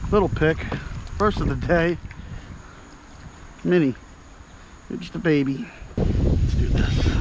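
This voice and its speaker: A man speaks at a fairly slow pace with ordinary pitch variation. The sound is dry with no echo, though noticeable background noise is present. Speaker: kayak angler vlogger. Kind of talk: casual vlog chat. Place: waterside. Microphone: phone near.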